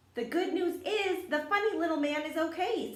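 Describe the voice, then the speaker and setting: A woman's squeaky, put-on character voice at an extremely high pitch and moderate pace, with slight echo. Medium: read story. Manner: gentle.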